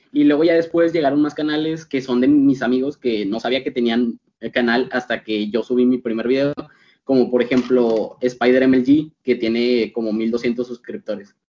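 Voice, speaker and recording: The speaker is a man with a medium pitch. He talks at a moderate pace with ordinary pitch variation. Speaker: YouTuber and student. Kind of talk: casual chat. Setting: video call.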